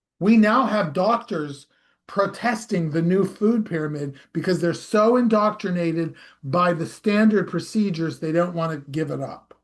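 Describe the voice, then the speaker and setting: A man with an American accent speaks at a high pitch for a man. His pace is moderate and his pitch varies in an ordinary way. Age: 60s. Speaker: hypnosis practitioner and health commentator. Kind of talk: casual monologue. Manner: conversational, with fillers and self-corrections.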